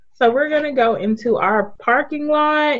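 A woman at a fairly slow pace. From US South, Memphis, Tennessee. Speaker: podcast co-host. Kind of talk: casual chat. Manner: animated.

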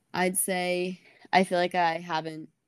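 The speaker has an American accent and a monotone, flat intonation. The recording is very clean, the background silent. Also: woman. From US South, Georgia (Atlanta area). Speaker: college runner. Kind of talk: interview. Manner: casual, many fillers.

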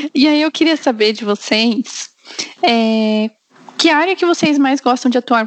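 A woman talks at a moderate pace with a high pitch and ordinary pitch variation, in a dry, close sound with no echo. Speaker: podcast host. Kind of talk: casual chat.

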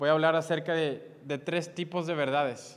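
A man speaks with monotone, flat intonation. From Mexico, Monterrey, Nuevo León. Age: 20s. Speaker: youth preacher. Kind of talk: sermon. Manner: halting, frequent repetitions.

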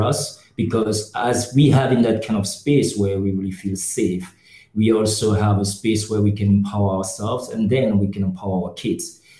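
At a moderate pace, a man talks in a dark, mellow tone. His voice is somewhat breathy and fairly low in pitch. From Cameroon. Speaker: NGO worker, podcast co-host. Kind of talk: casual discussion.

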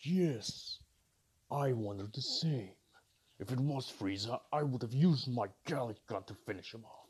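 A man puts on a character voice at a medium pitch, speaking at a moderate pace. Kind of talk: comic parody voice acting. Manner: arrogant, bossy, easily irritated.

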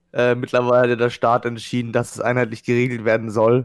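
The pace is fairly quick. A man speaks at a medium pitch. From Baden-Württemberg, Germany. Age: 20s. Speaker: event technician. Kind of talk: casual chat.

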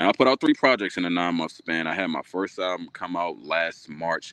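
Here a man with an American accent talks at a moderate pace with fairly even intonation. His pitch is very deep and low. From DMV area, US. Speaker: music artist. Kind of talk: interview, casual chat. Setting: live stream.

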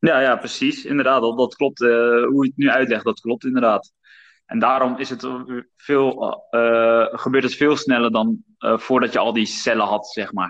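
A man speaks at medium pitch in an ordinary speaking voice. His pace is moderate. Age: 20s. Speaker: podcast host and former personal trainer. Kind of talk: casual chat.

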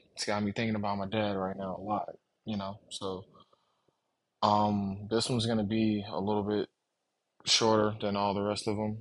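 This man's voice is fairly low, delivered with monotone, flat intonation at a moderate pace. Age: 30s. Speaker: podcast host. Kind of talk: casual monologue. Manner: halting.

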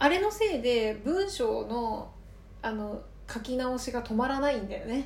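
At a fairly slow pace, a woman with a high voice and lively intonation speaks over noticeable background noise, with audible room echo. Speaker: podcast co-host. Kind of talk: casual chat.

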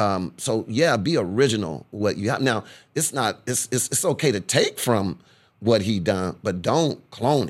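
A man with an American accent talks in an ordinary speaking voice at a fairly slow pace, with lively intonation. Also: fairly low pitch for a man, very clean recording, silent background. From Corpus Christi, Texas. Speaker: radio DJ and TV host. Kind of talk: casual interview.

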